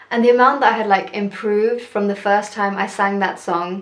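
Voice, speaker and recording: Someone with a British accent speaks at a fairly quick pace with fairly even intonation. Noticeable background noise and audible room echo fill the recording. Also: woman. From UK, Telugu heritage. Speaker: singer and vlogger. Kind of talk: casual vlog talk. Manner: hesitant, many fillers.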